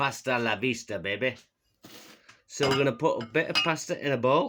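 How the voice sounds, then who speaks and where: A man with a Yorkshire accent speaks in a bright, sharp tone with vocal fry and very wide pitch swings. The recording is very clean, with a silent background. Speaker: comedy cooking vlogger. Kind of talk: comedic cooking demonstration. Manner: casual, jokey.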